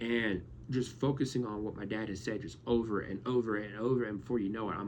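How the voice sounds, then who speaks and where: Heard with audible room echo, a man speaks at a fairly quick pace. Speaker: YouTuber. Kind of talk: casual vlog monologue. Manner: stuttering; halting.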